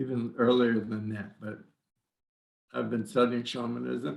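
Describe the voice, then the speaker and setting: A man talks with vocal fry. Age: 70s. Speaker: shaman, former psychologist. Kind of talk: casual interview.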